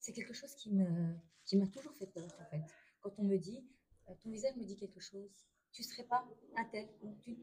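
With long, frequent pauses, a woman speaks at a fairly high pitch in a dark, mellow, somewhat breathy tone, her loudness swinging widely and her pitch varying in an ordinary way. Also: moderate pace. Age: 30s. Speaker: stay-at-home mother, trained care assistant. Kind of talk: testimony. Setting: restaurant during a brunch. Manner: quiet, hesitant.

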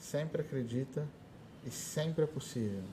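A man's fairly high voice at a fairly slow pace, ordinary pitch variation, and noticeable background noise. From Brazil, São Paulo state (Ribeirão Preto area). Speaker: conductor and music teacher. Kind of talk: interview. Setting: school podcast recording.

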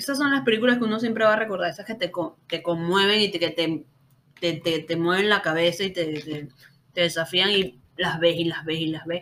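At a moderate pace, a woman with a Caracas accent speaks at a fairly low pitch with ordinary pitch variation. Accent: Venezuelan Spanish (Caracas). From Venezuela, Caracas. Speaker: podcast host. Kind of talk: casual chat.

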